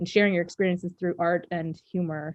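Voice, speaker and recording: Here a woman speaks with an American accent at a fairly low pitch. Her pace is fairly quick. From USA. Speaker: author and cartoonist. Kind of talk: interview. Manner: animated.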